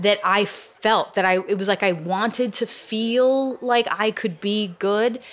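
This woman has an American accent. Her pitch varies in an ordinary way. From central Massachusetts. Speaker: novelist. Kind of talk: interview. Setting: bookstore event. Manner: halting.

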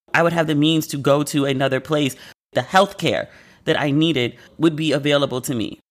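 In a very clean recording with a silent background, a woman with an American accent speaks fairly quickly in a very deep, low voice with fairly even intonation. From United States. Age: 40s. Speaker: podcast host. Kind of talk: casual monologue.

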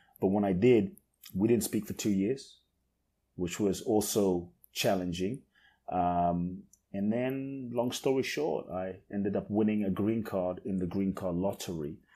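Very clean and silent in the background, this recording has a man with an American accent and a dark, mellow tone. He talks at a fairly slow pace and a fairly low pitch with ordinary pitch variation. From London. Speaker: life coach. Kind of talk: interview conversation.

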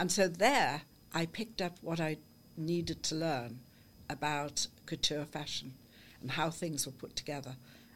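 With a Liverpool accent, a woman speaks at a moderate pace in a very deep, low voice with ordinary pitch variation, on a very clean recording with a silent background. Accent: Liverpool (Scouse). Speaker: artist and clothes designer. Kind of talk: interview. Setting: studio.

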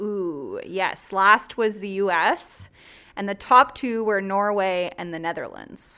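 A woman speaks at a very slow pace in a bright, sharp tone, medium in pitch with ordinary pitch variation and big swings in loudness. The recording is very clean, with a silent background. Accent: Ontario. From rural southwestern Ontario, Canada. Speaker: healthcare clinic operations director. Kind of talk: radio talk show interview.

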